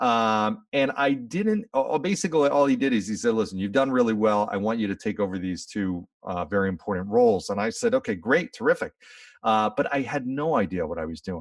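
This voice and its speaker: An unremarkable speaking voice from a man at medium pitch, fairly quick and with lively intonation, on a very clean recording with a silent background. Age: 40s. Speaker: leadership speaker and podcast host. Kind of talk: interview.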